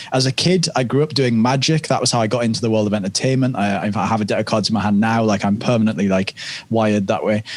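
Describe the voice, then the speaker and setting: Speaking very fast with a British accent, a man keeps his medium-pitched voice fairly even in intonation. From UK. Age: 30s. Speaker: stage hypnotist and coach. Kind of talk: podcast interview.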